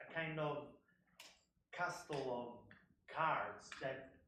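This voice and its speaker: A man with an Italian accent, audible room echo around him. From Italy. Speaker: artist. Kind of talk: panel talk. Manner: halting.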